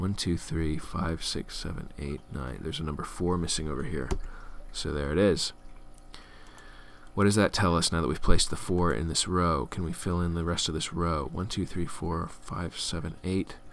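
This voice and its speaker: Very deep male speech with vocal fry, normal pitch movement and a medium speed. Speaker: game tutorial presenter. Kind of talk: tutorial. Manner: casual with fillers.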